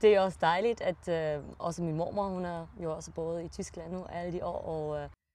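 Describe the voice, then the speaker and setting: The pace is moderate. There are hardly any pauses. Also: woman, fairly low pitch for a woman. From Germany (Rheingau, Hesse). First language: German (speaking Danish). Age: 20s. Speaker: winemaker. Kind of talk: podcast interview. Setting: in-person conversation.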